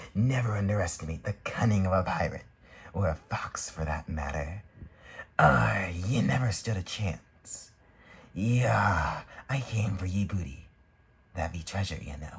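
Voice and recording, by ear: A man speaks in a put-on character voice with a very deep, low pitch. His pace is moderate, broken by long, frequent pauses.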